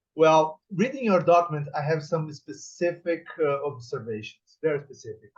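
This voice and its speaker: With a Portuguese accent, a man talks at a moderate pace with hardly any pauses. His pitch is fairly high and varies in an ordinary way. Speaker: professor on thesis examining board. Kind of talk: formal evaluation speech at thesis defense. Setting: academic defense session. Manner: formal.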